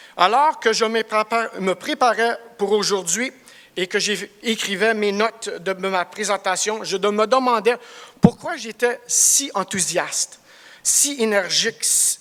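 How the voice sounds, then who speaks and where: Noticeable background noise surrounds a man speaking at a very slow pace. His voice is high, with ordinary pitch variation. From Cornwall, eastern Ontario, Canada (Franco-Ontarian). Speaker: construction project director. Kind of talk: business presentation. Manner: halting, searching for words.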